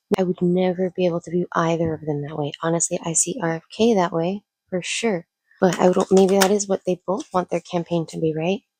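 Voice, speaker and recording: A woman speaks at a fairly low pitch in a flat monotone. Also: dry, close sound with no echo. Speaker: tarot reader. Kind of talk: tarot reading to camera. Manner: casual and chatty; lowered voice.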